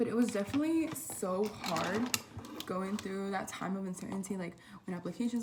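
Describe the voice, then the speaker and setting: A woman's medium-pitched voice in a Spanish accent, at a fairly quick pace. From Southern California (Oxnard). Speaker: college student vlogger. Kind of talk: casual vlog talk. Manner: casual, hesitant with many fillers.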